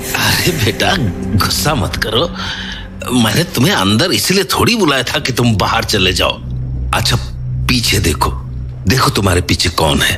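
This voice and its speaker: Loud music fills the background while a man in a cartoonish character voice speaks at a moderate pace. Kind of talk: horror story acting. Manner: insistent, scolding.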